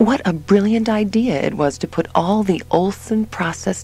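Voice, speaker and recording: Medium-pitched female speech at a moderate pace over noticeable background noise. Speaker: audiobook narrator. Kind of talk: literary audiobook reading, first-person diary-style narration of a sci-fi story. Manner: intimate, dramatic and expressive, shifting from wary and shaky to awestruck.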